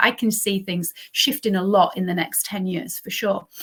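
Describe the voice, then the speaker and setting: The speaker has a northern English accent and talks at a fairly quick pace. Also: woman. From northern England. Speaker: podcast host and health coach. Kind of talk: interview.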